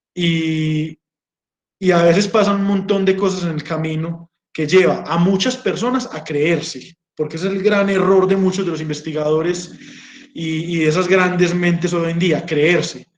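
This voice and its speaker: With an Antioquian accent, a man with a high pitch speaks at a fairly slow pace and with fairly even intonation. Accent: rural Antioquian Colombian. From Colombia, Marinilla, Antioquia. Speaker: geologist and doctoral researcher. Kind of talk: informal talk to students.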